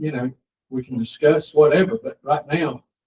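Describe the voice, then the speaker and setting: A somewhat breathy man with a fairly high pitch and a Georgia accent. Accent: southern US (Georgia). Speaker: county board chairman. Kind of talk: public meeting discussion. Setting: county commission meeting room. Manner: halting, many fillers.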